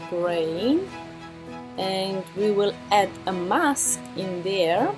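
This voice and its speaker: A woman speaks at a medium pitch with ordinary pitch variation and a non-native accent, with clear music in the background. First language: not English. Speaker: photo editing tutor. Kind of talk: software tutorial talk. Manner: hesitant, casual. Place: home room. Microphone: webcam.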